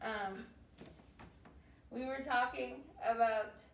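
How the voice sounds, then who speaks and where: Heard with noticeable background noise and audible room echo, a woman speaks at a fairly high pitch with lively intonation. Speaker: youth show host. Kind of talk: casual chat. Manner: loud.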